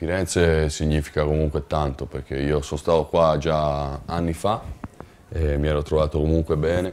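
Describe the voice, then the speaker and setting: Against light background noise, a man with a very deep, low pitch speaks in a monotone, flat intonation at a moderate pace. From Liguria, Italy (Recco, Genoa); Liguria, Italy. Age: 30s. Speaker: basketball player. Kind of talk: interview. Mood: relaxed, friendly. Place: home room. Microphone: lapel.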